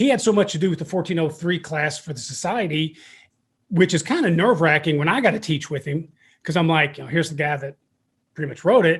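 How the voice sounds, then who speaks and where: Delivered at a very fast pace with ordinary pitch variation, this voice carries an Eastern Kentucky accent on a very clean recording with a silent background. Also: man, high pitch for a man. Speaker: podcast host and fire service instructor. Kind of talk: casual interview chat. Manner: animated.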